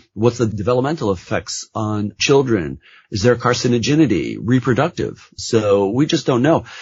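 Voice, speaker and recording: A man's medium-pitched voice with vocal fry, lively intonation and a moderate pace. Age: 60s. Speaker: nurse practitioner. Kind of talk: interview.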